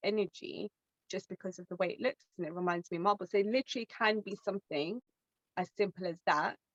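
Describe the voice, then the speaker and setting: Using a plain, everyday voice, a woman holds a medium pitch and ordinary pitch variation. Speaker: crystal specialist, webinar co-host. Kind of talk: webinar presentation. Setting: online webinar.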